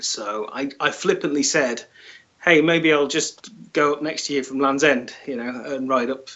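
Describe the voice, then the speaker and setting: A man talks with ordinary pitch variation at a fairly slow pace, the background quiet. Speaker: remote interview guest. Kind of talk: interview answer. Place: home room. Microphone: video call.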